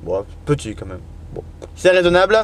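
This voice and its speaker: In a dry recording with no echo and light background noise, a man's pitch swings very widely. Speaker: truck driver vlogger. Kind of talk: casual vlog monologue. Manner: fast; hesitant, many fillers. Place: car. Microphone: phone near.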